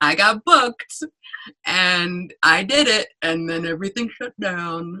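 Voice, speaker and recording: An unremarkable speaking voice with an American accent, fairly slow in pace, with ordinary pitch variation and a dry, close sound free of echo. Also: woman. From North Carolina. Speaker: stand-up comedian. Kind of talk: casual interview.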